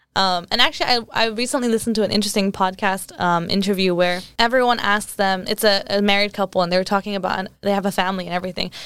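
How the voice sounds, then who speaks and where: A woman with an American accent speaks at a medium pitch and a very fast pace, with hardly any pauses. Her intonation stays fairly even. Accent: American-sounding English. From England. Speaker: podcast host. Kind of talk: casual interview. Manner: giggly, casual.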